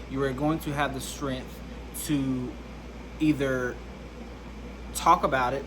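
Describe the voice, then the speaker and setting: A man with an American accent talks at a fairly slow pace. The recording has noticeable background noise and audible room echo. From US South, Alabama. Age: 20s. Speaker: content creator. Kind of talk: personal testimony vlog.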